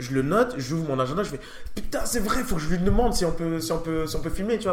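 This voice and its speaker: A high-pitched man races along at a very fast pace amid noticeable background noise. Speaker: podcast host. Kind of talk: casual interview chat.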